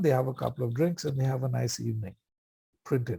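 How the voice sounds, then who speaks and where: A man speaks in an Indian accent with lively intonation. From India, Bombay. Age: 60s. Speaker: AA speaker. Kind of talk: recovery talk at meeting. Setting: meeting. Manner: casual, humorous storytelling.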